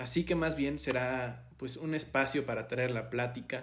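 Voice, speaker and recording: Speaking very slowly with a Mexican accent, a man of medium pitch is heard with audible room echo. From Mexico. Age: 20s. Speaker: podcast host. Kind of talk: solo podcast monologue. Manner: hesitant, many filler 'eh'.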